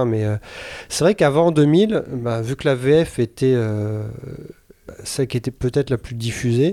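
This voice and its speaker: A man's dark, mellow voice at a medium pitch, with lively intonation, on a very clean recording with a silent background. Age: 40s. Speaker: radio show co-host. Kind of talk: casual chat.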